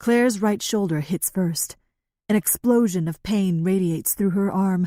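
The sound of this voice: An unforced reading voice with ordinary pitch variation is heard against a quiet background.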